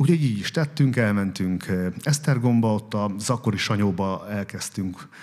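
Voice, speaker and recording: A man speaks in a normal speaking voice at a fairly low pitch. His pace is moderate, with ordinary pitch variation. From Hungary, Békés county. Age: 40s. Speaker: restaurant owner and businessman. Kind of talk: interview before live audience. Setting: café event with audience.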